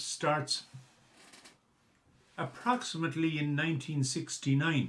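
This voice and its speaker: Someone speaks at a fairly slow pace with a Galway accent, with noticeable background noise. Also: man. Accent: local Galway Irish. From Ireland, Ballygar, County Galway. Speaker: local historian and documentary presenter. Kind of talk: documentary narration. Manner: halting, with fillers and restarts.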